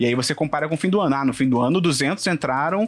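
A man speaks in an unremarkable speaking voice. It sits at a fairly high pitch with ordinary pitch variation. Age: 20s. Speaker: internal communications professional and podcaster. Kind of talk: casual interview chat.

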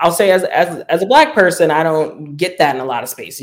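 In a New Orleans accent, the speaker talks at a fairly quick pace. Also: man. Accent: New Orleans Southern US. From US South, New Orleans. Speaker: activist. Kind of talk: interview.

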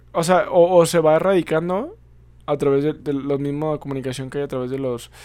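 This man's voice sits at a fairly high pitch and has a dark, mellow tone. He moves at a fairly quick pace with fairly even intonation. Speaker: podcast host. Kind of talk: casual discussion. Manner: halting, many fillers.

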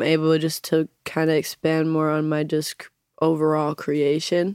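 A woman with an American accent speaks at a fairly low pitch. The sound is dry and close with no echo, and the recording is very clean with a silent background. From Utah. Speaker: hip hop artist. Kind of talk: casual chat. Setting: studio.

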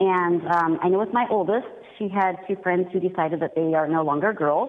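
A woman speaks with an ordinary speaking voice. Her medium pitch varies in an ordinary way, at a moderate pace. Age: 30s. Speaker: caller, mother. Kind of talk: radio call-in. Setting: phone call.

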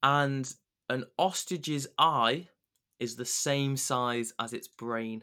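A man speaks very slowly at a medium pitch with fairly even intonation. His tone is bright and sharp, and the recording is very clean with a silent background. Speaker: podcast host. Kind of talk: casual chat.

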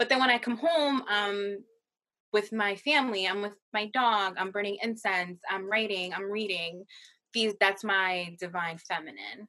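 At a fairly slow pace, a woman talks in an ordinary speaking voice, medium in pitch with ordinary variation. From Massachusetts, US. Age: 20s. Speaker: nonprofit worker. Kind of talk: casual chat.

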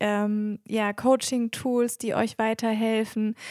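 A woman's fairly high voice, monotone and flat, at a very slow pace, with a dry, close sound and no echo. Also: very clean recording, silent background. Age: 30s. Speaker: systemic coach and podcast co-host. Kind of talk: casual podcast introduction.

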